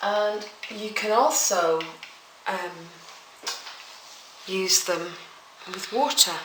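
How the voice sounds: A woman's fairly bright voice at a very slow pace, with audible room echo. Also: medium pitch for a woman, ordinary pitch variation.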